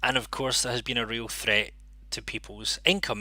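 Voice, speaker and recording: A man talks at a very fast pace. He has a Scottish accent. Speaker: interpreting channel host. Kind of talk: live stream monologue.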